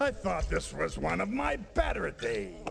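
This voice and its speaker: Man in a put-on character voice, over clear background noise. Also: moderate pace. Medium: video game. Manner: sardonic, gruff.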